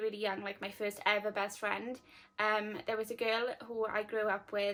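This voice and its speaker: A woman with a South Welsh accent, fairly high in pitch, at a moderate pace. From Wales, Llanelli. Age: 20s. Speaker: lifestyle vlogger. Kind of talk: casual chat to camera. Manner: casual, many fillers.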